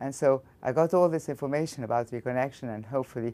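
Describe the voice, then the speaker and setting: The recording is very clean, with a silent background. A woman with a very deep, low pitch talks at a fairly quick pace with ordinary pitch variation. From Egypt. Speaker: physics professor. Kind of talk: interview.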